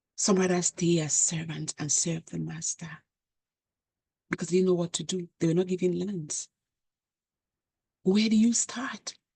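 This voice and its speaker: With an African accent, a woman speaks at a moderate pace in a fairly low, somewhat breathy voice with a dark, mellow tone, fairly even intonation and long, frequent pauses, the sound dry and close with no echo. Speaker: channel host, commentator. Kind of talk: monologue commentary.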